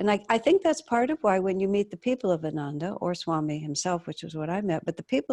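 Against a quiet background, a woman speaks very fast at a medium pitch, her dark, mellow tone moving through very wide pitch swings. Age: 70s. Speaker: talk show host, spiritual teacher. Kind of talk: interview. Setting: video call.

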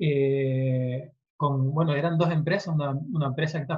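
A man with a fairly high pitch speaks at a fairly slow pace, his intonation fairly even. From Canary Islands (Tenerife). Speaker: SEO consultant. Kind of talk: interview. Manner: halting.

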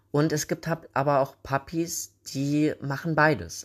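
Over a silent background in a very clean recording, a man talks at a very slow pace. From Thuringia, Germany. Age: 30s. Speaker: podcast host. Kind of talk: casual solo podcast talk. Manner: hesitant, many filler sounds.

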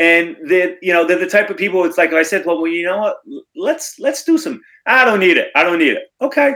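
In a raised, projected voice with a bright, sharp tone, a man talks at a fairly quick pace and high pitch, with very wide pitch swings. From Rhode Island, Cranston. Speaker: photographer. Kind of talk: casual interview.

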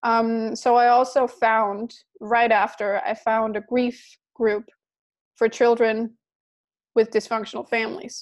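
In a Danish accent, a woman speaks at a fairly slow pace. Her intonation is monotone and flat, on a very clean recording with a silent background. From Denmark. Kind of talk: interview.

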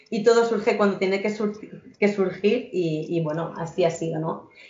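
A woman at a medium pitch, moderate pace and fairly even intonation, with audible room echo. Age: 30s. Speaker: emotional education entrepreneur. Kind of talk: podcast interview.

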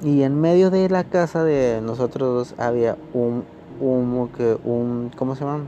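There is noticeable background noise as a man speaks with a Mexican accent at a very slow pace. His pitch is medium, with ordinary variation. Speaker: podcaster. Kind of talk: storytelling. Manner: halting; casual.

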